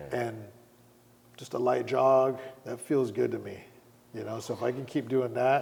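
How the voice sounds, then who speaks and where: Speaking at a fairly slow pace, a man delivers his words in a monotone, flat intonation with vocal fry. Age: 40s. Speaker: fitness trainer and Muay Thai fighter. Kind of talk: casual chat.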